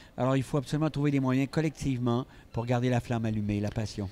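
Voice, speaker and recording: A man with a Quebec accent, dark and mellow in tone, at a fairly quick pace with ordinary pitch variation. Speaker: psychiatrist and speaker. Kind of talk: interview.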